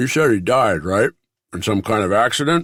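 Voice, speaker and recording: Doing a put-on character voice, a man speaks raspily at a medium pitch and a moderate pace with lively intonation, in a dry, close sound with no echo. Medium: read story.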